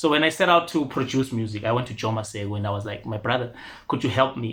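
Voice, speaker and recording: A man with a Ndebele accent and a medium pitch. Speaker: rapper and singer. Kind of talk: interview. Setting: studio.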